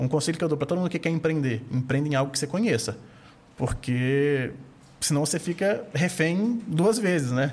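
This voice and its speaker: Somewhat breathy delivery from a man, fairly high in pitch, moderate in pace, with lively intonation. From Minas Gerais, Brazil. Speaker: investment firm founder. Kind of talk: casual interview.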